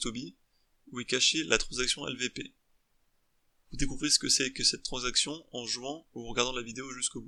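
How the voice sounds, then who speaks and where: A man with a bright, sharp tone and medium pitch talks at a fairly quick pace, with big swings in loudness and long, frequent pauses. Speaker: student game developer. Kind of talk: scripted narration; tutorial. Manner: fast; halting.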